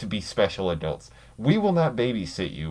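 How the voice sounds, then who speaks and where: On a very clean recording with a silent background, a man speaks in an animated tone at a fairly low pitch. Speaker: vlogger, fast food worker. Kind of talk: rant. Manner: halting, pauses to find words; animated, heated.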